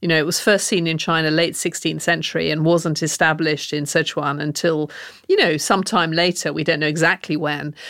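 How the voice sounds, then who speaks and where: Delivery comes at a fairly quick pace in a southern English accent. The intonation is monotone and flat. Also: woman, very deep, low pitch for a woman. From England, Oxford. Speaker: cookbook author. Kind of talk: interview.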